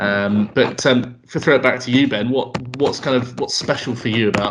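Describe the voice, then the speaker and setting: At a moderate pace and with fairly even intonation, a man speaks over noticeable background noise. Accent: southern English. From southern England. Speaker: podcast co-host. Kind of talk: casual podcast chat.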